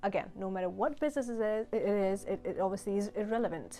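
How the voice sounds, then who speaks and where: Over music in the background, a woman talks at a very fast pace with a medium pitch and ordinary pitch variation. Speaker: finance YouTuber and business coach. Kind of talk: vlog-style talk to camera. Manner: energetic.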